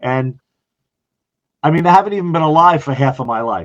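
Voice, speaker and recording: Fast-talking with lively intonation, a man with an American accent and a fairly high pitch is heard in a dry, close sound with no echo. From US Northeast, Long Island, New York. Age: 60s. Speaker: retired fire chief. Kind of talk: podcast interview.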